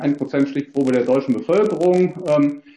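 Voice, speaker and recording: This man speaks with lively intonation. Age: 50s. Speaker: economics professor. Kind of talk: expert presentation at a parliamentary hearing. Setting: video call. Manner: hesitant, many fillers.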